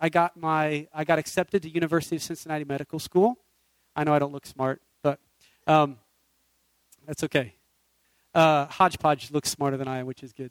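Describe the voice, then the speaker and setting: Recorded with a dry, close sound and no echo, a man with a fairly high pitch and fairly even intonation talks at a fairly quick pace, with long, frequent pauses and big swings in loudness. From US Midwest and South, moved often. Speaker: guest preacher and worship musician. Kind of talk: sermon. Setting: church. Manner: halting, many fillers.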